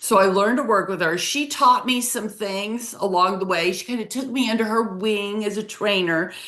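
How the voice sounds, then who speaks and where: A woman speaks at a moderate pace in a medium pitch, her voice swinging very widely up and down. Noticeable background noise runs under her. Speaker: accountant and webinar host. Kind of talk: casual chat.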